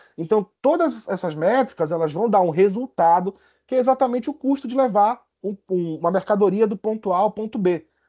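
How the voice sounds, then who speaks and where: A man with a high-pitched voice and a dark, mellow tone speaks at a fairly quick pace with lively intonation, recorded dry and close with no echo against a quiet background. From Brazil, Pará (Belém). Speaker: university professor. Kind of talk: lecture. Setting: video call. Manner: halting, many fillers and restarts.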